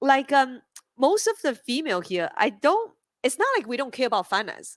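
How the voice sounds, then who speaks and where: Bubbly and animated, a woman with a high pitch talks at a fairly quick pace with very wide pitch swings, in a very clean recording with a silent background and a dry, close sound with no echo. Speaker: crypto company co-founder and CEO. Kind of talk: panel discussion. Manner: bubbly, animated.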